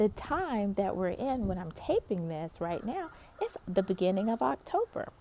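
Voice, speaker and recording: A woman's medium-pitched voice at a fairly slow pace, with very wide pitch swings. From US South, North Carolina. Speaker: pastor. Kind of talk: encouraging devotional talk. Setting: outdoors in a park. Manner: casual, conversational.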